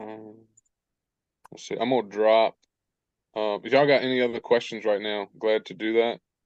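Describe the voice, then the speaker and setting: A man at medium pitch talks with a monotone, flat intonation and long, frequent pauses. His loudness swings widely. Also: moderate pace. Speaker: online business coach. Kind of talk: live coaching webinar Q&A.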